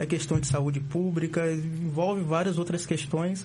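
The man talks at a fairly slow pace. His voice is high. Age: 20s. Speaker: social work student, youth politics activist. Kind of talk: casual chat. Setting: studio. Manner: animated.

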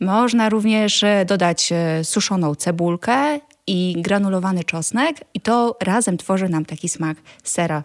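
Her voice is a plain, everyday voice at medium pitch. The woman speaks at a fairly slow pace with ordinary pitch variation. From rural Poland. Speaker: vegan food blogger and cookbook author. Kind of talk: casual interview chat.

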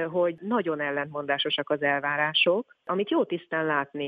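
Here is a woman with a plain, everyday voice. She speaks at a fairly low pitch and a moderate pace. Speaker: communications manager at a charity. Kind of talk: interview.

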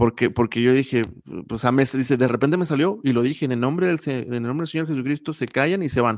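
Speaking at a very fast pace, a man uses a medium pitch. His pitch variation is ordinary, and the background is quiet. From Mexico, Coahuila. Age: 30s. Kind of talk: casual interview.

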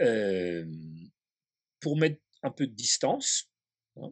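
The sound is close and dry, without any echo. It is a man who is talking. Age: 60s. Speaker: historian. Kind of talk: interview.

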